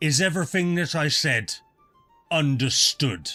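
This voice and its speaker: A man uses a booming, put-on character voice at a moderate pace with ordinary pitch variation, as faint music plays in the background. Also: fairly high pitch for a man. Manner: commanding, threatening.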